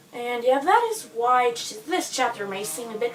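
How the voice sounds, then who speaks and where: A woman with a non-native accent talks at a moderate pace amid noticeable background noise. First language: not English. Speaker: fanfiction author vlogger. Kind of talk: casual vlog monologue. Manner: quiet, soft-spoken; hesitant, filler-heavy.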